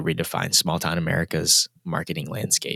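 A man's very deep, low voice in a dry, close sound with no echo. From Singapore. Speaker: entertainment executive, ex-military. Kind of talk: interview.

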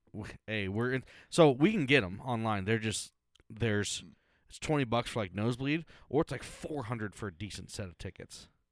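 Here is a man with an ordinary speaking voice at medium pitch, moving at a moderate pace. His pitch varies in an ordinary way while his loudness swings widely. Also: very clean recording, silent background. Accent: American. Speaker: podcast host. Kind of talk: casual chat.

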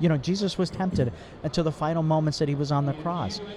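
A man talks at a fairly quick pace with ordinary pitch variation, amid noticeable background noise and audible room echo. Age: 60s. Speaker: ministry worker. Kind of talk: testimony. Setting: mobile studio in convention exhibit hall.

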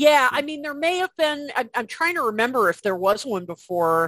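With a quiet background, a woman speaks at a moderate pace and her pitch swings very widely. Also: dry, close sound with no echo. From US Midwest, Chicago area. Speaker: music writer and author. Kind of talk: casual interview.

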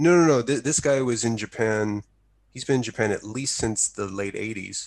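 A man with a plain, everyday voice speaks at a moderate pace, using medium pitch and ordinary pitch variation. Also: quiet background. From US South. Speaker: podcast host. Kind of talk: interview conversation.

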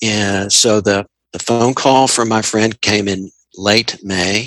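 Here a man with a Southern US accent speaks at a very slow pace. His tone is bright and sharp, his pitch fairly low, and his intonation fairly even. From Tennessee. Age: 50s. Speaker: interviewee sharing personal story. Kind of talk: interview. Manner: reflective, measured; hesitant with repetitions.

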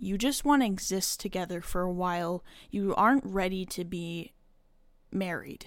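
The speaker has a normal speaking voice at a moderate pace with ordinary pitch variation. The recording is very clean, with a silent background. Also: woman. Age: 20s. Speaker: solo podcast host. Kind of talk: casual personal monologue. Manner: casual, with filler words and laughs.

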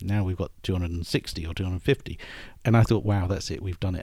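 Speaking with a British accent, a man has a dark, mellow tone and a moderate pace. The recording is very clean with a silent background. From United Kingdom. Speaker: airline executive. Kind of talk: interview.

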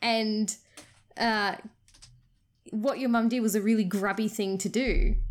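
Long, frequent pauses from a woman speaking at a fairly slow pace. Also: fairly high pitch for a woman, fairly even intonation, very clean recording, silent background. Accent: Australian. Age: 30s. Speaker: podcast co-host. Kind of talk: casual chat.

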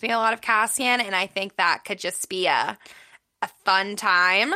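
This voice has a bright, sharp tone, fairly even intonation, and a fairly slow pace. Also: woman. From Pittsburgh, US. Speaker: podcast co-host, book reviewer. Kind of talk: casual chat.

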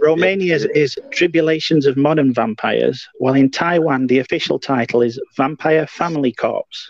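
A man with an unremarkable speaking voice, fairly high-pitched, at a moderate pace with hardly any pauses, ordinary pitch movement, very even loudness, and a dry, close sound with no echo. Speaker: co-host reading trivia. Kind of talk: casual chat.

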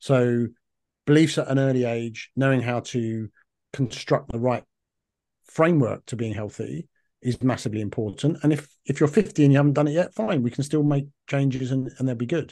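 A man with a London accent speaks at a fairly quick pace at medium pitch, his tone dark and mellow and his pitch variation ordinary. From London, England. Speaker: functional medicine practitioner. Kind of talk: interview. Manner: talkative.

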